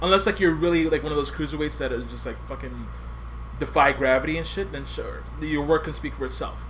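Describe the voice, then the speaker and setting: Someone with a Spanish accent talks at a fairly quick pace amid noticeable background noise and audible room echo. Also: man. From US, Puerto Rican family. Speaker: podcast host. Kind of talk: casual chat.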